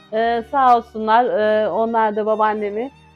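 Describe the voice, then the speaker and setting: A woman's fairly high voice at a fairly slow pace, with music in the background. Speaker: caregiver grandchild. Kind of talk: interview answer.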